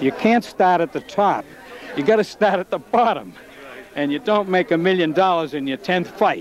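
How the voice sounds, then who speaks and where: This man talks at a moderate pace with a Boston accent. Noticeable background noise runs behind him. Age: 70s. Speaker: amateur boxing official. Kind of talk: interview. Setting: hotel before fight night.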